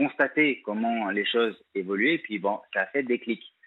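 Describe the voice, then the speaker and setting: A man uses a normal speaking voice, his pitch medium and his pace moderate. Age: 40s. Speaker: caller, founder of a support association for battered men. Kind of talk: testimony.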